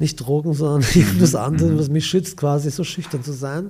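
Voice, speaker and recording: A man with a fairly high pitch and a dark, mellow tone talks at a fairly quick pace, somewhat breathy, in a very clean recording with a silent background. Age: 60s. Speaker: gallery owner and event host. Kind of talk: casual interview chat. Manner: animated.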